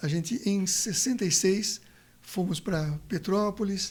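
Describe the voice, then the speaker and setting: This man speaks at a high pitch. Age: 70s. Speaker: pediatrician. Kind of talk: interview. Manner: halting, with frequent repetitions.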